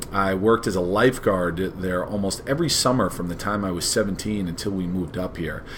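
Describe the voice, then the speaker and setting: A man with a Long Island accent talks very fast in a very deep, low voice with ordinary pitch variation. There is noticeable background noise and audible room echo. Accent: Long Island New York accent, noticeable. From New York, Long Island (Long Beach). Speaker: history teacher. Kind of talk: scripted self-introduction presentation.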